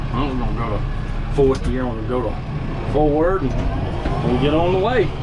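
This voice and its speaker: A man at a fairly slow pace, amid noticeable background noise and audible room echo. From US South, Mississippi. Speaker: farmer and coal mine maintenance worker. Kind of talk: casual vlog narration. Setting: outdoors on a tractor.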